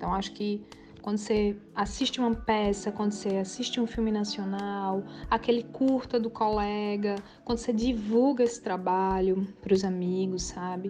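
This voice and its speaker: A woman speaks with a Pernambuco accent and a fairly even intonation. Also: medium pitch for a woman, moderate pace. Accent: Northeastern Brazilian (Pernambuco). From Pernambuco Agreste, Brazil (Limoeiro). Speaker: actress and acting teacher. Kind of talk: interview.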